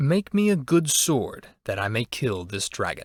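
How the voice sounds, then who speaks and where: A man growls in a put-on character voice, fairly high-pitched with very wide pitch swings, at a moderate pace on a very clean recording with a silent background. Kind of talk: archaic heroic speech. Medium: read story. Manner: resolute, proud.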